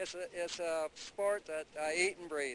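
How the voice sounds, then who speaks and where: Speaking at a moderate pace, the man keeps his intonation fairly even. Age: 70s. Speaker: drag racer. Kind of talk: interview.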